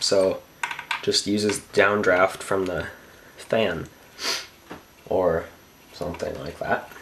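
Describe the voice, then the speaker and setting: There is noticeable background noise as a man speaks at a very slow pace. His pitch is very deep and low, with fairly even intonation. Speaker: YouTube PC builder. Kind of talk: casual tutorial vlog. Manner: rambling, casual, self-talking.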